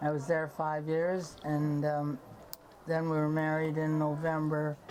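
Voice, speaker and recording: Amid audible room echo, a woman with a very deep, low pitch speaks at a fairly slow pace in a flat monotone at very even loudness. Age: 90s. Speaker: local resident. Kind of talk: interview.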